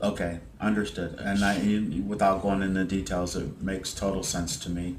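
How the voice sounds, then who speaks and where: A man speaks quietly at a moderate pace with a very deep, low pitch and monotone, flat intonation. There is audible room echo. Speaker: hypnosis practitioner. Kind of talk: hypnosis session interview. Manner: loud; trying to speak quietly.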